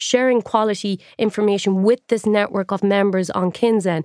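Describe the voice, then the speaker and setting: A woman talks at a fairly quick pace in a medium pitch with ordinary pitch variation. The recording is very clean with a silent background, dry and close with no echo. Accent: Irish. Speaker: journalist turned tech entrepreneur. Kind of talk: interview conversation.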